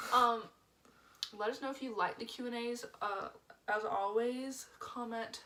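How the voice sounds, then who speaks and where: A woman talks with a fairly high pitch and fairly even intonation. Noticeable background noise is present. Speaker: couple vlogger. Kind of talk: casual chat.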